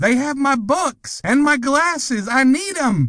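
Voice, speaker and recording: A man uses a put-on character voice pitched extremely high. He speaks at a fairly slow pace. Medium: read story.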